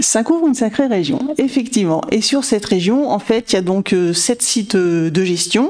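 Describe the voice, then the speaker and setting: A woman's fairly high voice with lively intonation and very even loudness, at a moderate pace, over noticeable background noise. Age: 40s. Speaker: insurance manager. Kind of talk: podcast interview.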